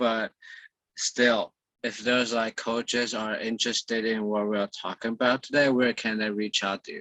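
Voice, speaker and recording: A man with a non-native accent talks at medium pitch and a moderate pace. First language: Mandarin Chinese. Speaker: fitness coach and podcast host. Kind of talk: interview over video call.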